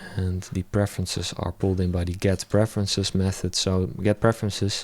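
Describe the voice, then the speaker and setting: A flat, monotone delivery at a fairly quick pace, on a very clean recording with a silent background. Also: man, very deep, low pitch for a man. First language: not English. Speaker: web developer. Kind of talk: live coding tutorial. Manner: halting.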